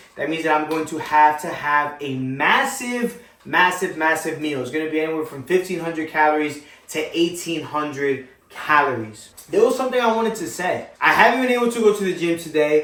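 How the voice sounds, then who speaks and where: Amid noticeable background noise and audible room echo, a man with an American accent speaks at a high pitch and fairly quick pace, with lively intonation and an animated tone. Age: 20s. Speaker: fitness vlogger. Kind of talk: casual vlog talk to camera.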